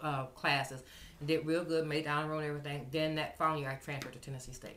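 Speaking very fast with an American accent, the voice stays monotone and flat. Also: woman. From US Midwest, Champaign-Urbana, Illinois. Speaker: oral history narrator. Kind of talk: oral history interview. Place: home room. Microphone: webcam.

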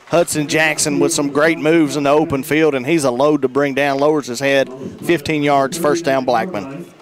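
In an American accent, the speech moves at a moderate pace with hardly any pauses and fairly even intonation, the sound dry with no echo but noticeable background noise. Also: man, fairly high pitch for a man. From US South. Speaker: radio color commentator. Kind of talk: live commentary. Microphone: headset.

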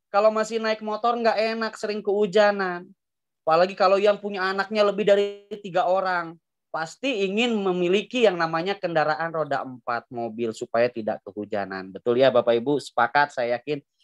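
In a quiet background, a man with a high pitch and an animated tone talks at a fairly quick pace with very wide pitch swings. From Indonesia, Bandung; Indonesia. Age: 30s. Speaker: business seminar presenter; presenter. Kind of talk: sales pitch. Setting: video call. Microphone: video call.

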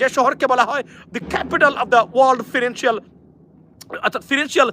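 This man's voice is extremely high, bright and sharp, raised and projected in an animated tone. The sound is dry and close, with no echo. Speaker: news commentator. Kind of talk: live news commentary. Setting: outdoors.

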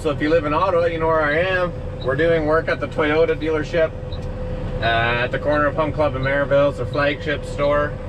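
With noticeable background noise behind him, a man talks fairly quickly. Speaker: truck driver vlogger. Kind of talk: casual vlog chat. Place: car. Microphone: camera far.

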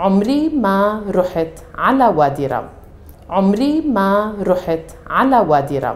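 A woman speaks with very wide pitch swings. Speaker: Arabic teacher. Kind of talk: language lesson to camera. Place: studio. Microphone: lapel.

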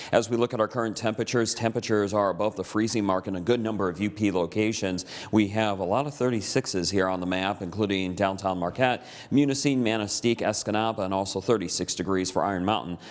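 An American accent at a very fast pace, with hardly any pauses and a fairly even intonation. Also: man, fairly low pitch for a man. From US Upper Midwest, Michigan's Upper Peninsula. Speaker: TV weather forecaster. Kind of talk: local TV weather report, walking viewers through radar maps and temperatures. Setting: TV studio. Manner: relaxed, conversational delivery with casual reassurances; occasional stumbles and repeated words. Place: studio.

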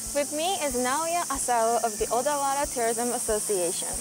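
Clear music plays behind a woman speaking at a fairly slow pace. The sound is dry, with no echo. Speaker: TV travel reporter. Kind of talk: presenter piece to camera. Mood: bright, friendly. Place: open country.

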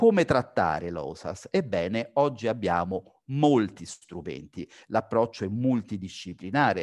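This man talks fairly slowly with lively intonation, the background quiet. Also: fairly low pitch for a man. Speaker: physician, sleep-disordered breathing specialist. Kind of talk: lecture. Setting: video call.

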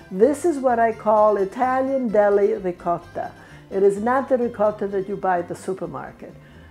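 A woman at a moderate pace with ordinary pitch variation and faint background music. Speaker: home cook host. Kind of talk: cooking tutorial. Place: kitchen.

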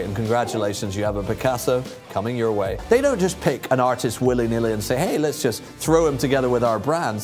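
Clear music plays in the background. A man speaks over it with ordinary pitch variation. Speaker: fine art TV host and auctioneer. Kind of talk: TV auction host presentation. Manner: upbeat, energetic, showman-like. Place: studio. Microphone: lapel.

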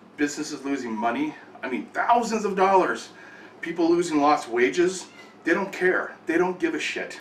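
With light background noise and audible room echo, a man with a high pitch speaks with lively intonation. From California. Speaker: gaming channel host. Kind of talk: angry rant about the power company. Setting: home, filming in the kitchen. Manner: angry, fast, ranting. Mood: angry, frustrated, tired. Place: kitchen. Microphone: webcam.

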